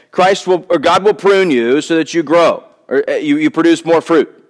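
With an American accent, a man speaks at a moderate pace and high pitch over a quiet background. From US South. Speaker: pastor. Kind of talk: sermon. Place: church. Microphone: headset.

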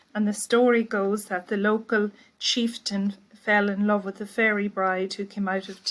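In an Irish accent, a woman speaks at a fairly slow pace with monotone, flat intonation. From Ireland. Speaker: poet. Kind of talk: poet introducing her work. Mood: calm, explanatory. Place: home room. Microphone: webcam.

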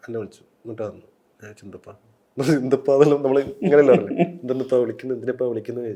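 A man speaks at a medium pitch with a dark, mellow tone. His loudness swings widely. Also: ordinary pitch variation. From Kerala, Kasaragod district. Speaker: novelist and screenwriter. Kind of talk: interview.

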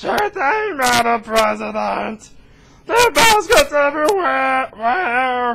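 Shouting in a put-on character voice, a man speaks at a fairly slow pace with an extremely high pitch. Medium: solo performance. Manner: loose, excitable.

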